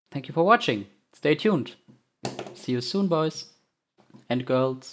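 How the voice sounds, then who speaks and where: Someone with a non-native accent speaks at a fairly slow pace. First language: not English. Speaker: gaming video creator. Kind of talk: unscripted gameplay commentary. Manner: halting, with repetitions.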